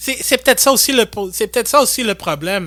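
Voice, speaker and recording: A man with a high pitch uses a raised, projected voice with a bright, sharp tone and lively intonation, on a very clean recording with a silent background. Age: 20s. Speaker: podcast host. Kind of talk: casual chat.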